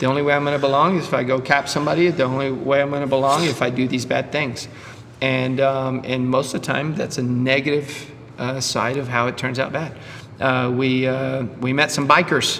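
Delivered at a fairly quick pace in a monotone, flat intonation, the speech carries audible room echo and noticeable background noise. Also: man, medium pitch for a man. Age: 50s. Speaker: podcast host and dentist. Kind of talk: casual chat. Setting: CrossFit gym.

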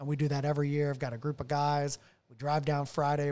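Very fast male speech in an American accent, fairly high in pitch with a dark, mellow tone, on a very clean recording with a silent background. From US South, Nashville area, Tennessee. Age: 40s. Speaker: car enthusiast. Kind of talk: casual chat. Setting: his home garage.

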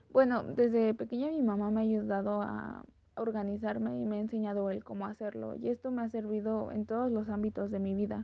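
Here a woman talks at a fairly quick pace. There are hardly any pauses. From Mexico. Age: 20s. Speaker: podcaster and influencer. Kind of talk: casual interview.

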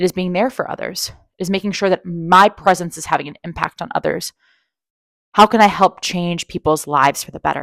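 A woman talks at a fairly quick pace in a plain, everyday voice, fairly low in pitch with ordinary pitch variation and big swings in loudness. The recording is very clean with a silent background and a dry, close sound with no echo. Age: 30s. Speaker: career coach, podcast host. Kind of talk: solo monologue, personal storytelling.

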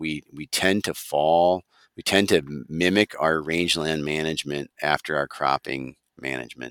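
With an Upper Midwest accent, a man speaks at a moderate pace in a very deep, low voice with a bright, sharp tone and a dry, close sound with no echo. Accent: Upper Midwest (Minnesota). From Minnesota, Wright County. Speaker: rangeland extension specialist. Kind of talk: casual interview.

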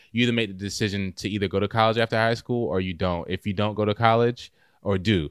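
Speaking at a very fast pace, a man with an American accent uses a fairly low pitch and fairly even intonation. The recording is very clean, with a silent background. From US South, North Carolina (Raleigh). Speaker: track athlete and filmmaker. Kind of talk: casual interview.

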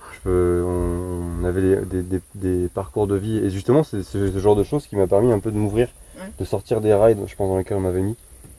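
A man's unremarkable speaking voice, fairly low in pitch, with fairly even intonation and a fairly quick pace. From Charente, western France. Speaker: farrier. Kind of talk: casual chat.

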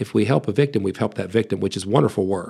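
In an American accent, a man with a fairly low pitch and ordinary pitch variation speaks in a normal speaking voice. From US, West Virginia. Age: 40s. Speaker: pastor and biblical counselor. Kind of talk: podcast interview.

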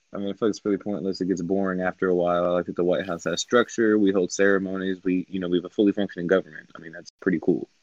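A man with an American accent speaks very fast in a very deep, low pitch, with monotone, flat intonation and hardly any pauses. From Ohio, US. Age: 20s. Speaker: co-host, online role-play game player. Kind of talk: casual group discussion.

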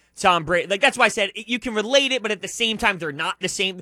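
On a very clean recording with a silent background and dry, close sound with no echo, a man uses a raised, projected voice with a bright, sharp tone and lively intonation. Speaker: sports radio co-host. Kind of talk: sports talk radio. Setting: radio studio. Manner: loud.

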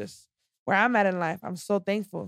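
The speech moves at a fairly slow pace with fairly even intonation. The sound is dry and close, with no echo. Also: woman. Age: 20s. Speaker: podcast guest, self-care business owner. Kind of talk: casual chat.

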